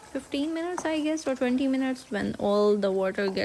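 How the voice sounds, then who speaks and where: There is noticeable background noise as a woman speaks with a non-native accent. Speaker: cooking vlogger. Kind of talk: cooking tutorial voiceover. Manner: slow and steady, hesitant.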